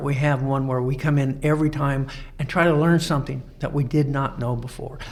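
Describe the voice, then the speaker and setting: There is audible room echo as a man with a fairly high pitch speaks with an American accent. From Colorado. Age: 70s. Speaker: Freemason lodge instructor. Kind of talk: podcast interview. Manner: halting, many fillers.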